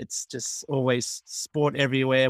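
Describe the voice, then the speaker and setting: Recorded very cleanly with a silent background, a man with an Australian accent sounds dry and close, with no echo. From Australia, Melbourne. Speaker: amateur cricketer and umpire. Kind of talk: casual interview.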